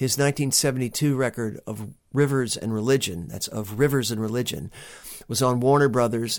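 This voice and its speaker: Recorded very cleanly against a silent background, a man speaks at a moderate pace with a medium pitch. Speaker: podcast host and musician. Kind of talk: casual monologue. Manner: chatty, jokey, animated.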